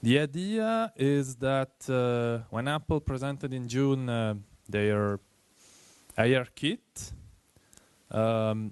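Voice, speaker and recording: With an Italian accent, a man speaks at a very slow pace and a medium pitch, using ordinary pitch variation and long, frequent pauses, the sound dry and close with no echo against a quiet background. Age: 20s. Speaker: iOS developer. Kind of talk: tech meetup presentation.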